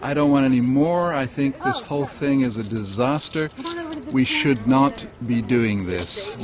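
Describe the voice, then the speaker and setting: Amid noticeable background noise, a man speaks at a fairly slow pace and medium pitch. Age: 60s. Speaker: protester. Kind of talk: street interview.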